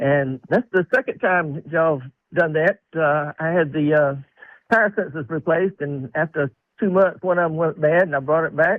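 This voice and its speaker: Speaking with a Southern US accent, a man uses a fairly high pitch with ordinary pitch variation. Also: moderate pace. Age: 70s. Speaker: caller. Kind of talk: phone-in call.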